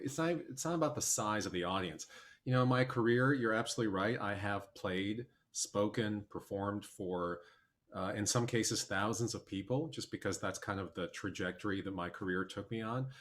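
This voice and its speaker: A man with an American accent has a normal speaking voice and a fairly low pitch. He keeps a moderate pace with ordinary pitch variation. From US Midwest, Milwaukee, Wisconsin. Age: 40s. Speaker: documentary filmmaker and musician. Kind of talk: casual chat.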